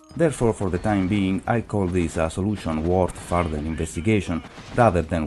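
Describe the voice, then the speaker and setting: A man speaks at a fairly quick pace with a very deep, low pitch and fairly even intonation. Music plays in the background. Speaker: video game reviewer. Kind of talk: game review narration.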